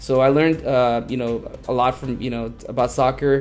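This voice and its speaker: A man speaks at a medium pitch in a flat, monotone way, with noticeable background noise behind him. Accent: Spanish. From Los Angeles, California (West LA). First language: Spanish. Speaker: behavior analyst. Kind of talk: personal story video monologue. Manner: hesitant, many fillers and repetitions.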